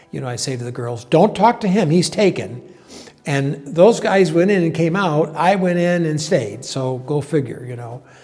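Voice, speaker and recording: A man's fairly high voice in an American accent, with lively intonation at a moderate pace, over noticeable background noise. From upstate New York, Binghamton. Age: 70s. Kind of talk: interview testimony. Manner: hesitant, many fillers.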